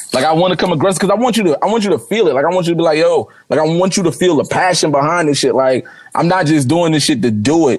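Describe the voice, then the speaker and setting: Pitched high, a man rattles along very fast with hardly any pauses, very even loudness and ordinary pitch variation. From Newark, New Jersey. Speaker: rapper. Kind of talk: casual interview chat. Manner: casual, repetitive filler speech.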